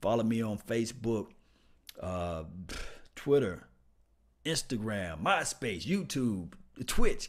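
Here a man talks at a very slow pace with a Mississippi accent. His pitch is medium. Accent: Mississippi Southern US. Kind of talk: casual livestream sports talk. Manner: casual, chatty, animated.

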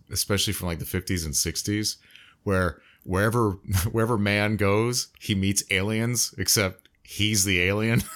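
In a very clean recording with a silent background, a man with an American accent speaks at a fairly low pitch and a moderate pace. His intonation is fairly even, and he has a normal speaking voice. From United States. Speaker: podcast co-host. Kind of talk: casual chat.

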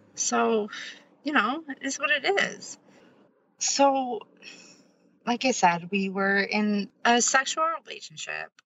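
Speaking at a very slow pace with long, frequent pauses, a woman with a high pitch uses lively intonation. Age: 30s. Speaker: abuse survivor. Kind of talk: testimony.

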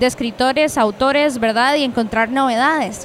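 A woman speaks in a high voice with ordinary pitch variation. Noticeable background noise runs under her. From Costa Rica, Cartago. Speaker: podcast host. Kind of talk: casual chat and interviews. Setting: book fair venue.

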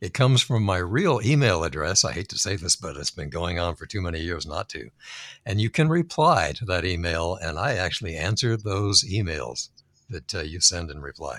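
A man speaks at a very deep, low pitch and a moderate pace. His intonation is lively, and his loudness swings a lot. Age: 80s. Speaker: angel investor. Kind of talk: casual interview chat. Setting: video call from home office.

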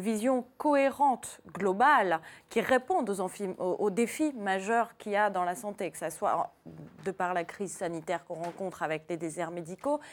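With an unremarkable speaking voice, a woman talks at a moderate pace with lively intonation and big swings in loudness. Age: 30s. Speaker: doctor. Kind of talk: televised debate. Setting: TV studio.

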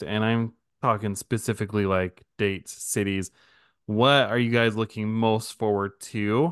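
A man with a medium pitch and an unremarkable speaking voice, at a moderate pace. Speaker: podcast host. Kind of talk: casual chat.

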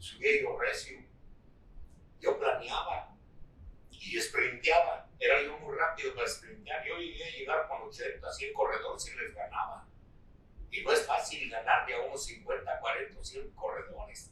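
A man speaks in a central Mexican accent. He goes at a fairly slow pace. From Central Mexico, State of Mexico. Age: 80s+. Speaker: rancher and former cyclist. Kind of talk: interview. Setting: at his ranch. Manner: halting.

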